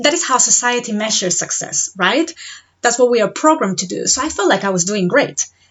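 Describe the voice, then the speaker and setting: In a Spanish accent, a woman talks with lively intonation. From Spain. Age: 30s. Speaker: podcast host and mindset coach. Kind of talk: podcast monologue.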